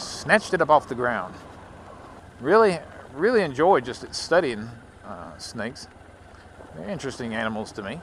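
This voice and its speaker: A man with a Southern US accent at a moderate pace, his pitch swinging very widely. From Louisiana. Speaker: motovlogger. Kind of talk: casual vlog monologue while riding. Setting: outdoors on a motorcycle. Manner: rambling, conversational.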